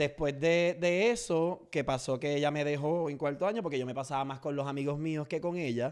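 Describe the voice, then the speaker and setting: A man talks at a moderate pace with hardly any pauses, his voice fairly high-pitched. His pitch varies normally, and the background is quiet. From Puerto Rico, Orocovis; Puerto Rico. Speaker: social media comedian; podcast guest. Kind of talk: interview. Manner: loud. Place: studio. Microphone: studio mic.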